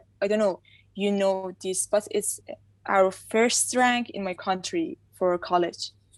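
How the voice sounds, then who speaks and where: Pitch varies in an ordinary way while the talking unfolds very slowly. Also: woman, medium pitch for a woman. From Iran. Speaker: freestyle footballer, student. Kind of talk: interview. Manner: halting.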